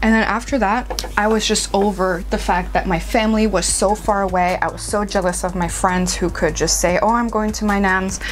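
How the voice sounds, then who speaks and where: A woman's relaxed voice at a moderate pace with hardly any pauses and very even loudness, plus music in the background and audible room echo. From England, with some years in the US. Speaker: beauty vlogger. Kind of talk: casual chat while doing makeup. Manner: chatty, relaxed.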